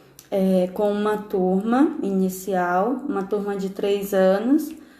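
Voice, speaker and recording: Audible room echo surrounds a woman of medium pitch who speaks with a dark, mellow tone at a very slow pace. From Brazil, interior of Ceará. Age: 20s. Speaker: missionary teacher. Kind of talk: testimony.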